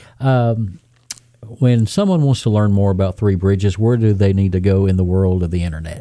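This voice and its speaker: The dark, mellow tone holds very even loudness at a moderate pace with ordinary pitch variation. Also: man, fairly low pitch for a man. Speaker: podcast host. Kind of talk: interview, casual chat.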